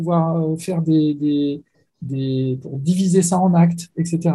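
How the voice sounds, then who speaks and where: Ordinary pitch variation runs through this voice. The man's tone is dark and mellow. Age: 50s. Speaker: science fiction author. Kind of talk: interview.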